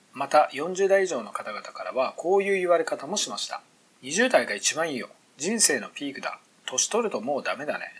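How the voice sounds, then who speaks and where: A man talks at a moderate pace, his loudness rising and falling sharply. Background noise is clearly audible. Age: 40s. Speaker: entrepreneur podcaster. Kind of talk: solo monologue podcast.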